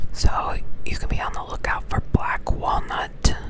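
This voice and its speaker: A woman whispers in an American accent. Noticeable background noise runs behind her. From Texas, USA. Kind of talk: ASMR reading aloud of a foraging pamphlet with casual asides. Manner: soft-spoken, whispered.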